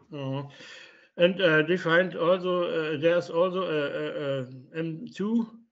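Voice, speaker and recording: This man speaks with a German accent. His pitch is high and his pace fairly slow. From Germany. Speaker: independent researcher. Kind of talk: lecture Q and A. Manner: halting.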